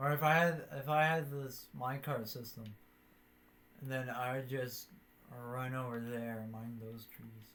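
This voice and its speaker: Words come at a fairly slow pace. The speaker is quiet. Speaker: gaming streamer. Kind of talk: casual gameplay commentary. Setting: live stream while recording.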